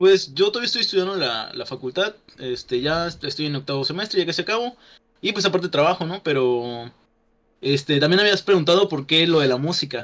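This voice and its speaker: With a plain, everyday voice, a man speaks at a fairly quick pace, his fairly high pitch moving in lively intonation. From Yucatán, Mexico. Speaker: YouTuber. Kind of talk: casual chat. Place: home room.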